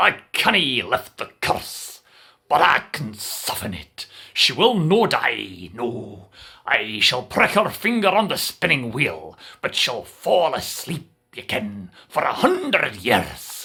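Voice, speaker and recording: A man's put-on character voice, medium in pitch, at a fairly slow pace. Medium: read story. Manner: gentle.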